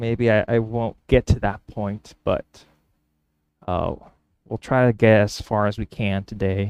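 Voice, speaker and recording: Over a very clean recording with a silent background, a man with a fairly low pitch speaks fairly slowly in a flat monotone with long, frequent pauses and a dry, close sound with no echo. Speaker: woodworker. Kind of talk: workshop vlog narration. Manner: halting.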